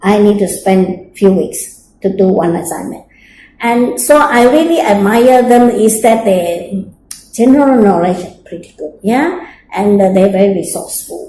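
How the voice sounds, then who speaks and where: With audible room echo, a woman speaks at a fairly slow pace in a somewhat breathy, dark, mellow tone of medium pitch. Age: 60s. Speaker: interviewee, mature student. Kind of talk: interview. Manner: hesitant with fillers.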